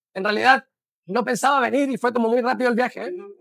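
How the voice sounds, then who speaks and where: A man speaks with a Chilean accent. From Chile, Santiago. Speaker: bookshop owner, philosopher. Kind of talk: interview. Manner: halting.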